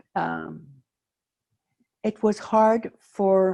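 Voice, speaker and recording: A woman's voice has a dark, mellow tone. The sound is dry and close with no echo, over a quiet background. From Belgium. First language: French. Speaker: Holocaust survivor. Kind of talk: testimony.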